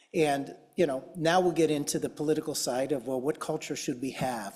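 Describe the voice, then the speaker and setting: A man's fairly high voice with a Chicago accent. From US Midwest, Chicago. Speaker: tech company executive, conference panelist. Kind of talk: conference panel presentation.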